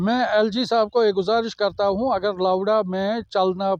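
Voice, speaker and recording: Here a man speaks with a high pitch. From Srinagar, Kashmir. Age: old. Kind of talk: interview answer.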